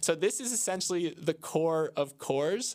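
This man has an ordinary speaking voice with an American accent. He talks at a moderate pace and a fairly high pitch. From Florida, US. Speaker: news podcast host and former newsletter writer. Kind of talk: casual news talk.

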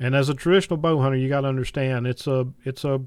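A man with a Southern US accent talks at a medium pitch with fairly even intonation, recorded very cleanly over a silent background. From North Carolina Piedmont. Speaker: outdoor podcast host, bow hunter and fly fisher. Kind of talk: casual interview chat. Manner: halting, many repetitions and fillers.

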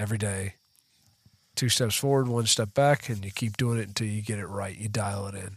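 Using an ordinary speaking voice, a man talks with fairly even intonation. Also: fairly low pitch for a man, fairly quick pace. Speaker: dog trainer. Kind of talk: casual interview chat.

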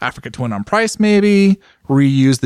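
In a West Coast accent, a man with a fairly high pitch speaks with very wide pitch swings. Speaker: motorcycle podcast host. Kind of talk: casual chat.

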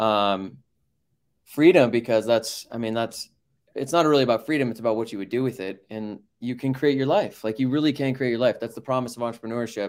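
A man with an ordinary speaking voice and an American accent, medium pitch, ordinary pitch variation and a fairly quick pace, in a very clean recording with a silent background. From Colorado, US. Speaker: painting business owner and coach. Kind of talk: interview.

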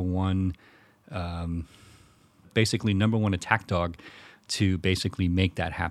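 A man's very deep, low voice with fairly even intonation and an American accent, in a very clean recording with a silent background. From New York, the Bronx. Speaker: crypto company CEO. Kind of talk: interview. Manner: fast.

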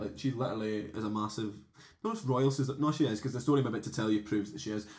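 A man talks with a Glasgow accent. His pace is very fast. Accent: Scottish (Glasgow). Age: 20s. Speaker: podcast co-host. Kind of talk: casual chat. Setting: home kitchen.

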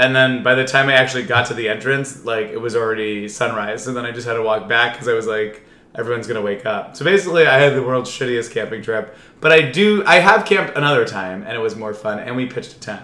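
A man speaks loudly at a very fast pace, with medium pitch and ordinary pitch variation. Room echo is audible. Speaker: podcast co-host. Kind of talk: casual chat.

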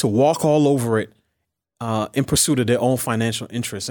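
Speaking at a fairly quick pace, a man uses an ordinary speaking voice at medium pitch with ordinary pitch variation, on a very clean recording with a silent background. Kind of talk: interview. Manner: measured, thoughtful.

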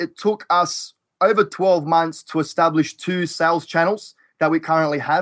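This voice, with an Australian accent, keeps a moderate pace and fairly even intonation, and the sound is dry and close with no echo against a quiet background. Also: man. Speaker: real estate investor. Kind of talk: interview.

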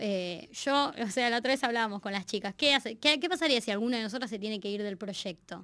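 A woman speaks at a fairly quick pace with hardly any pauses, her fairly high pitch showing ordinary variation. The tone is bright and sharp, and the recording is very clean with a silent background. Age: 30s. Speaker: musician. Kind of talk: casual chat.

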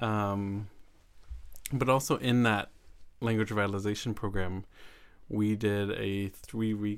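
This man speaks at a fairly slow pace, his fairly low pitch showing ordinary variation. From Saanich, Vancouver Island, British Columbia, Canada. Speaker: education student and campus radio podcaster. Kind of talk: casual interview.

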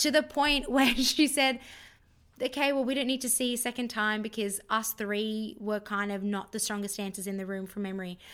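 A woman with an Australian accent speaks at a fairly high pitch. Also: ordinary pitch variation, moderate pace. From Australia (Sydney). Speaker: musical theatre performer and singer. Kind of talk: casual chat.

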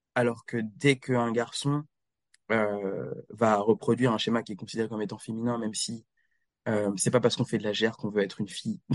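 At a fairly quick pace, a man talks in a medium pitch with fairly even intonation and an unremarkable speaking voice. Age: 20s. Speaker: rhythmic gymnast and doctoral student. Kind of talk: casual interview.

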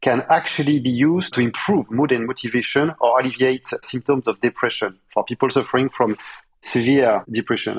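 Medium-pitched male voice with a French accent, fairly quick pace, ordinary pitch variation and a dry, close sound with no echo. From France. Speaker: startup co-founder and COO. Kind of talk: interview answers.

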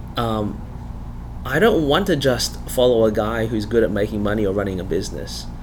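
A man's speech, delivered at a moderate pace, comes through noticeable background noise. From Australia, Melbourne. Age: 40s. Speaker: pastor. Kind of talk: interview conversation. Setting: studio.

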